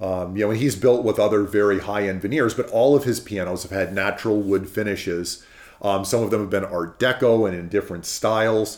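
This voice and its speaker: An ordinary speaking voice from a man with an American accent moves at a fairly quick pace with fairly even intonation. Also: fairly low pitch for a man, hardly any pauses. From California. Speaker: pianist and piano commissioner. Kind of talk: interview.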